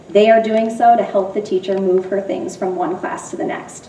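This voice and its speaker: A loud woman with an American accent talks at a fairly quick clip, her fairly high pitch swinging very widely. The room echoes audibly, and background noise is noticeable. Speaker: middle school teacher. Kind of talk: public presentation. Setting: school building open house, audience present.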